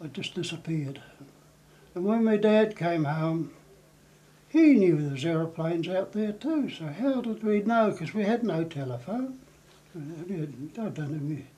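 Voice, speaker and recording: A man with a New Zealand accent, a high pitch, a dark, mellow tone and lively intonation. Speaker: war veteran. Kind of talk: interview reminiscence.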